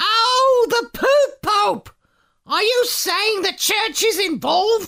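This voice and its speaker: An extremely high-pitched put-on character voice from a man, at a very slow pace. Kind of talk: comic overacting. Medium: audio drama. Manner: chatty, repetitive.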